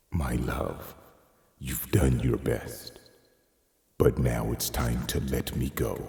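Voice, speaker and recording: A man puts on a character voice with a very deep, low pitch. He talks at a very slow pace, leaving long, frequent pauses. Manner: tender, gentle.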